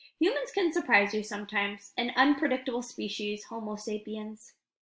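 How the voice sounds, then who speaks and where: Using a put-on character voice, a woman talks at a fairly quick pace, hoarse and fairly high-pitched. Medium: read story. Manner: weary, gentle.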